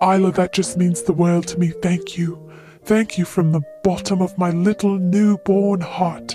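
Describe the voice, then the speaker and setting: Clear music plays behind a put-on character voice pitched in the middle range. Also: moderate pace. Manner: flowery, theatrical, confident.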